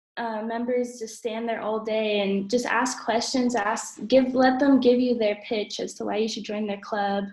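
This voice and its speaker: Fairly slow, fairly even speech from a woman with a high pitch. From Portland, Oregon, USA. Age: 20s. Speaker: assistant English teacher. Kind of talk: interview answer. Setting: video call. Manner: talkative.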